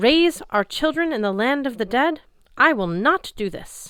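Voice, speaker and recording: A woman puts on a high-pitched character voice with very wide pitch swings. She keeps a moderate pace. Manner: defiant, refusing.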